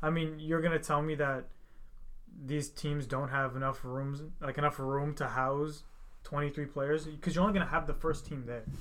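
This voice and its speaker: Monotone, flat intonation marks this man's fairly high-pitched voice, delivered at a moderate pace with an American accent. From United States. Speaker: podcast host. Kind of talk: casual chat.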